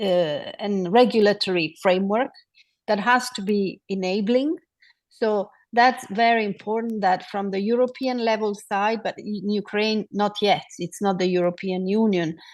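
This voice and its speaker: In a quiet background, a woman with a non-native accent speaks at a moderate pace and a medium pitch. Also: ordinary pitch variation. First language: not English. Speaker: city official on a climate panel. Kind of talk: panel discussion. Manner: halting, many fillers.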